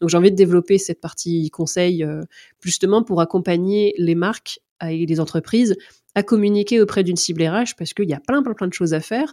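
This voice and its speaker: A woman speaks at a fairly quick pace and medium pitch, with ordinary pitch variation and a dark, mellow tone. The recording is very clean and dry, close with no echo and a silent background. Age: 30s. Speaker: content creator and HR influencer. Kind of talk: interview. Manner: hesitant, many fillers.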